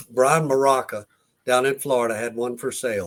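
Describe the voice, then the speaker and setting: A man's plain, everyday voice at a moderate pace, with fairly even intonation. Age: 60s. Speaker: competition barbecue cook. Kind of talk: casual chat.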